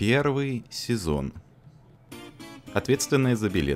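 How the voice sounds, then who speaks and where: With music in the background, a man speaks very slowly, his pitch swinging very widely. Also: medium pitch for a man. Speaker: fandub voice performer. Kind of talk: comedic fandub read. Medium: dub.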